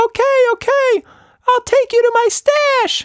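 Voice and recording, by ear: A put-on character voice, squeaky and extremely high-pitched, at a fairly slow pace.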